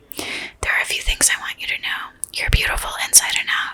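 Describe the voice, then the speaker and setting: A woman whispers at a fairly quick pace against noticeable background noise. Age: 20s. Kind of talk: whispered blog reading. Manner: whispered.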